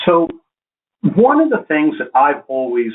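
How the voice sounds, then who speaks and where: A man with an American accent speaks with lively intonation. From Boston, US. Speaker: flooring industry presenter. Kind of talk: webinar lecture. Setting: online webinar. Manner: slow, deliberate enunciation.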